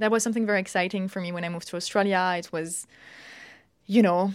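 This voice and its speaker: A woman with a strong French accent talks at a very fast pace in a medium pitch with ordinary pitch variation, on a very clean recording with a silent background. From France. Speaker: plant ecophysiologist researcher. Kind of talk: interview.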